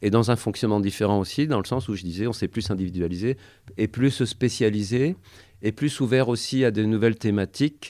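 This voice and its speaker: In a very clean recording with a silent background, a man with a dark, mellow tone talks at a fairly low pitch, a moderate pace and ordinary pitch variation. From Champagne, France. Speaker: community radio presenter. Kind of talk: interview. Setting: radio studio. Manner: halting.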